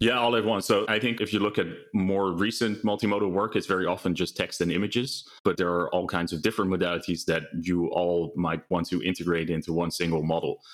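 A man with a Dutch accent talks very fast in a very deep, low voice, with fairly even intonation and hardly any pauses. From Netherlands. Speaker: AI research lead. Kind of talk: interview. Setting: video call from home.

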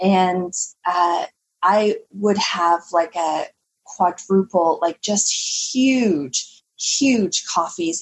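A woman with a Canadian accent speaks at medium pitch in a somewhat breathy voice with ordinary pitch variation. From Canada. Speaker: holistic nutritionist. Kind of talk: interview conversation.

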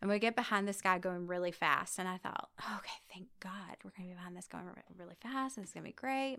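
Talking at a very fast pace, a woman with a Southern US accent has a bright, sharp tone, ordinary pitch variation and big swings in loudness. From US South, Georgia (near Savannah). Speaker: magazine editor and storyteller. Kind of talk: personal testimony.

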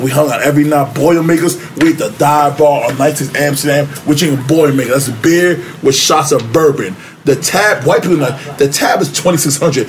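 In a New York accent, the speaker moves at a fairly quick pace with fairly even intonation over noticeable background noise. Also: man, fairly high pitch for a man. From New York City, Upper West Side. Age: 40s. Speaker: former record label member. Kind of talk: casual interview chat.

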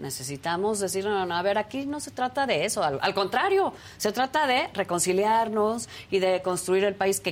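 Using lively intonation at medium pitch, a woman with an unremarkable speaking voice keeps a moderate pace. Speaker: panelist. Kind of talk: panel discussion on politics.

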